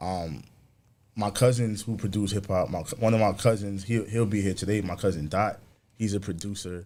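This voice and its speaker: A man with a New York accent, fairly low in pitch, dark and mellow in tone, at a moderate pace with fairly even intonation, on a very clean recording against a silent background. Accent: New York (Bronx). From New York, the Bronx. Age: 30s. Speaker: musician and producer. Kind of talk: casual interview.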